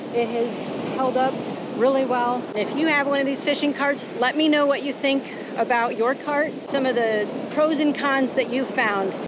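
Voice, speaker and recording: A woman talks at a moderate pace. The sound is dry with no echo, over loud background noise. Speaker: fishing guide vlogger. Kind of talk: casual vlog chat. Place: beach. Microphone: phone near.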